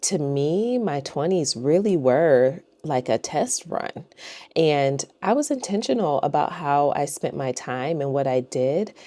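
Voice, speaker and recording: A woman speaks at a fairly slow pace in a very deep, low pitch. Her tone is dark and mellow, with ordinary pitch variation. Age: 30s. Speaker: lifestyle vlogger. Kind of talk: personal monologue to camera. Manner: conversational, with fillers.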